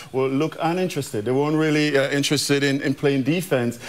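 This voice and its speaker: Speaking at a very fast pace, a man rattles through his words. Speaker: former player analyst. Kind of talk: commentary. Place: studio. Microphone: lapel.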